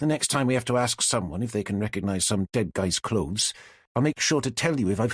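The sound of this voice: Intonation moves in a lively way through this unforced reading voice.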